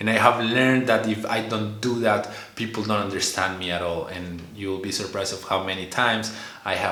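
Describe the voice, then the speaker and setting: Over noticeable background noise and audible room echo, a man with a Spanish accent speaks fairly quickly at a fairly low pitch. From Colombia. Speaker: vlogger. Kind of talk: casual monologue. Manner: halting, many fillers and repetitions; animated, learned expressive delivery.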